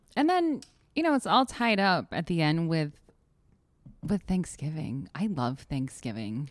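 An animated voice with an American accent moves at a fairly slow pace, with very wide pitch swings and long, frequent pauses. The recording is very clean, with a silent background. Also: woman, fairly low pitch for a woman. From Connecticut. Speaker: podcast co-host. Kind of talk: casual chat.

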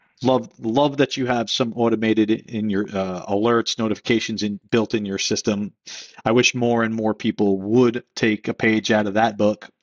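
The speaker keeps a moderate pace. The intonation stays monotone and flat. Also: man, medium pitch for a man. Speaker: podcast co-host. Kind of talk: casual interview. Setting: video call.

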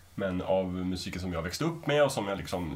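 In a room with audible echo, a man with a very deep, low pitch speaks at a moderate pace with lively intonation. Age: 30s. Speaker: podcast panelist. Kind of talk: casual panel discussion.

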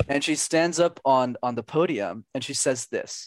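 Medium-pitched male voice with a Canadian accent and ordinary pitch variation, dry and close with no echo. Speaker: communication coach. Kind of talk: interview. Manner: talkative; energetic.

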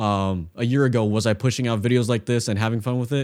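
The man talks fairly quickly in a medium pitch. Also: very clean recording, silent background. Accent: American. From US West Coast (San Francisco Bay Area). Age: 20s. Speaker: photographer and video creator. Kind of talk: interview conversation.

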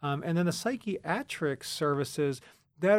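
A man speaks with an American accent in a normal speaking voice, his pitch varying in an ordinary way. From central Pennsylvania, rural. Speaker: university counseling center director. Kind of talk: interview.

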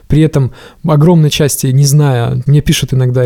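The dry, close recording with no echo carries a man's fairly high, somewhat breathy voice with a dark, mellow tone. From rural Russia. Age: 30s. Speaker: hardware engineer and startup founder. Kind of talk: casual interview.

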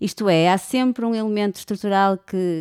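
Dark and mellow in tone, the voice moves at a moderate pace in a very clean recording with a silent background and a dry, close sound with no echo. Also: woman. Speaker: podcast host. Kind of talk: interview conversation.

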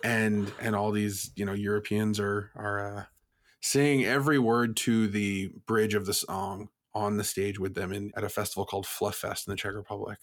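This man speaks at a moderate pace in a fairly low pitch, with an American accent and a monotone, flat delivery. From Vermont, US. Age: 20s. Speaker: music booking agent. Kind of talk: casual interview.

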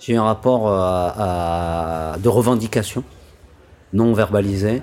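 Noticeable background noise surrounds a man speaking with ordinary pitch variation. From Paris suburbs, France. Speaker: interviewee. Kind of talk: personal testimony.

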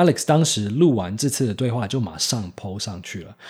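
On a very clean recording with a silent background, a man speaks at a fairly quick pace, somewhat breathy, with a dark, mellow tone and lively intonation. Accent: American. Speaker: podcast host. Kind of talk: scripted narration.

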